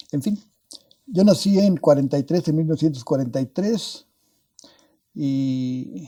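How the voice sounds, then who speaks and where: Lively in intonation, a man with a dark, mellow tone speaks at a fairly slow pace. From northern Mexico (Parral, Chihuahua). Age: 80s+. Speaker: physicist. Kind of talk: interview. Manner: halting.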